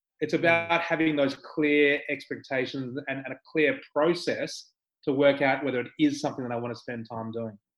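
A fairly high male voice with an Australian accent, moderate pace, fairly even intonation and big swings in loudness. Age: 50s. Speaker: skydiving entrepreneur. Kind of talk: casual interview.

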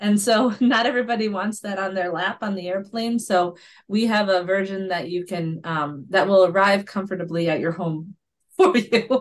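A woman with an American accent speaks in a normal speaking voice at a medium pitch and moderate pace, with ordinary pitch variation. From Minnesota. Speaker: potter and business owner. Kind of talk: casual interview.

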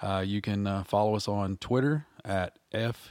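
In a Southern US accent, a man speaks at a fairly low pitch with fairly even intonation. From Arkansas. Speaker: podcast host, writer. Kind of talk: casual interview. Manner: halting.

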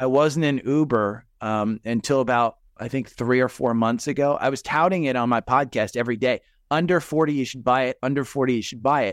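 A man with an American accent at a medium pitch and fairly quick pace, against a quiet background with a dry, close sound and no echo. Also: ordinary pitch variation. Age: 50s. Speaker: retired investor and stock podcaster. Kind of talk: casual interview chat.

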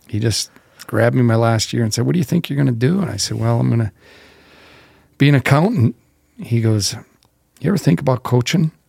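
Speaking very fast in an Upper Midwest accent, this somewhat breathy voice has a dark, mellow tone and lively intonation, broken by long, frequent pauses, with a dry, close sound and no echo. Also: man, medium pitch for a man. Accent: Upper Midwest American. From North Dakota, small town. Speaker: college football head coach. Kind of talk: casual interview.

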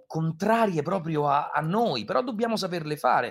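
Moving through very wide pitch swings, a man talks at a moderate pace. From Rome, Italy. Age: 20s. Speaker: voice actor. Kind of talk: interview.

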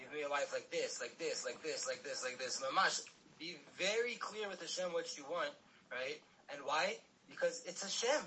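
Moderately paced speech from a man, with noticeable background noise. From mixed: Miami, South Africa, UK. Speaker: podcast host. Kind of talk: podcast interview.

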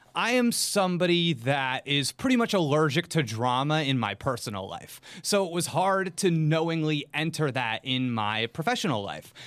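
At a moderate pace with hardly any pauses, a man with a fairly high pitch speaks in an animated tone with very wide pitch swings. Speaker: video game YouTuber. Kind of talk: casual chat.

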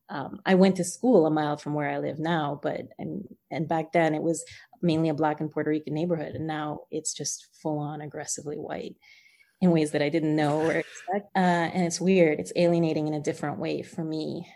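A woman with a very deep, low pitch and a dark, mellow tone, in a New Jersey accent, at a fairly quick pace with fairly even intonation. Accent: New Jersey American. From New Jersey, US (born in Guyana, moved at six). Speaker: author. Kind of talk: interview.

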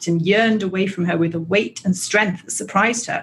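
The voice reads in an unforced way.

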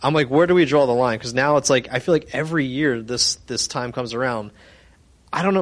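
A man with a medium pitch speaks in a normal speaking voice. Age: young. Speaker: audience member. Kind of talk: audience question.

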